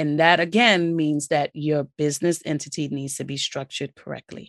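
Against a quiet background, a woman with a very deep, low pitch sounds enthusiastic and varies her pitch in an ordinary way. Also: dry, close sound with no echo. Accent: New York. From New York City, Brooklyn. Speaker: podcast host, business credit coach. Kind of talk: solo podcast, instructional talk.

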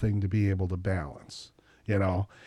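With an American accent and a dark, mellow tone, a man talks at a fairly quick pace in a dry, close sound with no echo and a very clean recording with a silent background. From Wisconsin. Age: 50s. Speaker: singer-songwriter. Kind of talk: casual interview chat.

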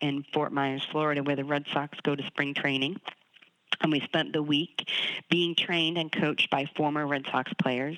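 In a very deep, low voice, a woman speaks with monotone, flat intonation. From Boston, US. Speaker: author and leadership coach. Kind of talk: interview.

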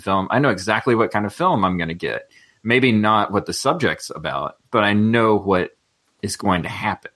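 The pace here is moderate. It is a normal speaking voice. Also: man. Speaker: youth ministries director and co-host. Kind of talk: casual chat.

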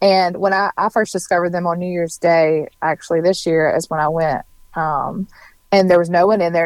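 A woman with a Southern US accent, fairly low in pitch, at a fairly quick pace in monotone, flat intonation, with a dry, close sound and no echo. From Mississippi. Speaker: food and social media blogger. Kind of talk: casual interview.

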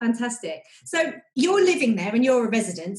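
A woman speaks in a British accent. Her voice is somewhat breathy. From Britain. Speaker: travel podcast host. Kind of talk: casual interview.

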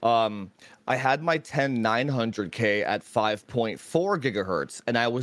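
Over a silent background in a very clean recording, a man talks at a fairly slow pace with medium pitch, ordinary pitch variation and an unremarkable speaking voice. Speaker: tech YouTuber. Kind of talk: casual chat. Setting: live stream.

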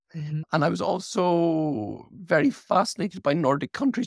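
A man speaks with vocal fry and lively intonation. The sound is dry and close with no echo, on a very clean recording with a silent background. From UK. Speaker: architect and author. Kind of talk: interview.

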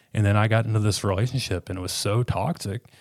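A man talks at a very fast pace in a fairly low, somewhat breathy voice. The recording is very clean, with a silent background. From Arkansas. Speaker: recovering addict. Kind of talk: testimony. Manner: halting.

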